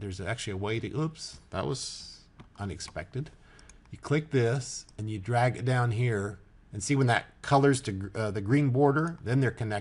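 Somewhat breathy, a man speaks at a moderate pace. His pitch is medium, with ordinary variation. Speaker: software tutorial maker. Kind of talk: tutorial. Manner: casual, halting with fillers.

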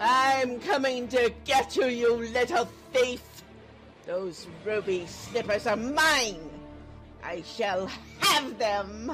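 A female-sounding, put-on character voice with fairly high pitch moves at a very slow pace with long, frequent pauses over clear music in the background. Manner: menacing, shrill threats.

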